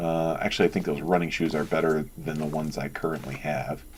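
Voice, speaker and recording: Very deep, low male voice at a moderate pace, with fairly even intonation and vocal fry. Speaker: gaming video creator. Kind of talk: let's play commentary. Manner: casual, hesitant with many fillers.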